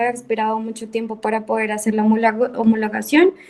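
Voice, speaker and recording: With a dark, mellow tone, a woman talks in a fairly high register. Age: 20s. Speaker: university student. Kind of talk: class introduction in video session.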